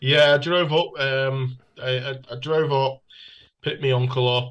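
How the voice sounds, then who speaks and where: Here a man talks with a northern English accent. His delivery is fairly slow, with monotone, flat intonation. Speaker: music fan. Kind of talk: casual chat. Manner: halting.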